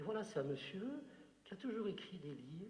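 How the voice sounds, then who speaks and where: A man's pitch swings very widely amid noticeable background noise and audible room echo. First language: Algerian Arabic (speaking French). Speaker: writer. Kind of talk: Q&A talk at a literary conference. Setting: conference with audience. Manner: hesitant, many fillers.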